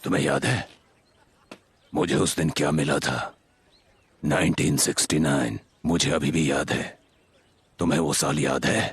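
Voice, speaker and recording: Pitched very deep and low, a man's put-on character voice comes with long, frequent pauses. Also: moderate pace, ordinary pitch variation, very even loudness. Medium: fan dub. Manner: gentle, reminiscing.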